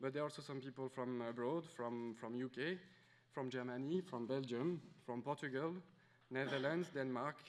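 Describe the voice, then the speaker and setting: With a French accent, a man speaks at medium pitch. His pace is moderate and his intonation fairly even. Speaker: conference organizer. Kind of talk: welcome speech. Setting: conference room with audience. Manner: hesitant, many fillers.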